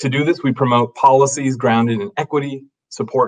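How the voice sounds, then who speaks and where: At a fairly quick pace, a man speaks with ordinary pitch variation against a quiet background. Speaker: webinar host. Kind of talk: scripted introduction. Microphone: webcam.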